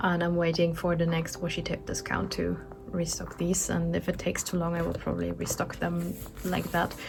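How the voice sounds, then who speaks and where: With a non-native accent, a woman talks at a fairly quick pace and very even loudness against noticeable background noise. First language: not English. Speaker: artist and small business owner vlogger. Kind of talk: casual vlog chat. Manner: halting, many fillers.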